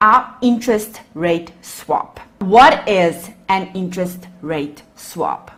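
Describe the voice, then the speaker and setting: Lively intonation from a woman at a very slow pace, with noticeable background noise. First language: Afrikaans. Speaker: accounting lecturer. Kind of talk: lecture.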